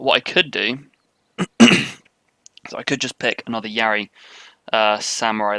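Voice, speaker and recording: With a British accent and a bright, sharp tone, a man talks with fairly even intonation, big swings in loudness and long, frequent pauses, the sound dry and close with no echo. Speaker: video game commentator. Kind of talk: live gameplay commentary. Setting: live stream. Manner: casual, light-hearted.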